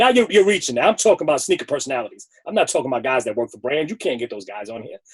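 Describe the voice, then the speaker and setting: A man with a New York accent at a medium pitch, very fast pace, hardly any pauses, very wide pitch swings and big swings in loudness. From New York, the Bronx. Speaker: sneaker personality. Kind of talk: interview. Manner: animated.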